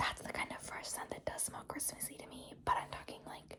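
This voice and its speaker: Whispering amid noticeable background noise. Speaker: ASMR creator. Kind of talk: ASMR haul video. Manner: whispered or soft-spoken.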